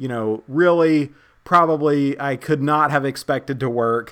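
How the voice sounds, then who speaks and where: Someone with an American accent speaks at a fairly slow pace with ordinary pitch variation on a very clean recording with a silent background. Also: man. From US. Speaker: podcast host. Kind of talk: interview. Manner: halting, many fillers.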